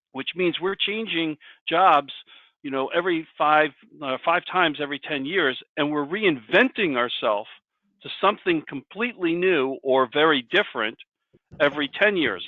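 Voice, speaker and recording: A man speaks in a plain, everyday voice at a moderate pace. His pitch is fairly high, with ordinary variation. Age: 60s. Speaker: career coach presenter. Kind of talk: presentation with discussion.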